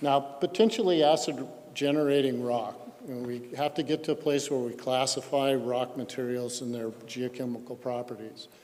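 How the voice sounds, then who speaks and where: Using an American accent, a man talks at a moderate pace and medium pitch with ordinary pitch variation. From Colorado. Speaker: geochemistry expert witness. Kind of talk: technical presentation at public hearing. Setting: public hearing. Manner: halting with fillers.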